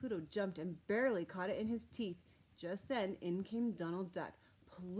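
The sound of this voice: Pitch variation stays ordinary. The delivery is an unforced reading voice.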